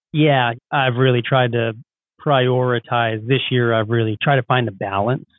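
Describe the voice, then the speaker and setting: With a normal speaking voice, a man talks at a moderate pace at medium pitch, with fairly even intonation and very even loudness. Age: 40s. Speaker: HVAC contractor and business owner. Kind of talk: podcast interview. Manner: casual, conversational.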